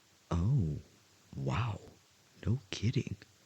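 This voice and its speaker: A soft-spoken man talks at a fairly low pitch in a somewhat breathy voice. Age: 20s. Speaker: voice actor. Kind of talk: audio roleplay. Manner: hesitant, shy.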